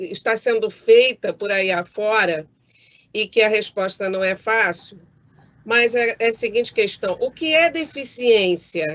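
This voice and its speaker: In a normal speaking voice, a woman speaks fairly slowly at a fairly high pitch with lively intonation. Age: 60s. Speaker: judge. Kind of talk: prepared talk. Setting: video call from home. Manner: formal.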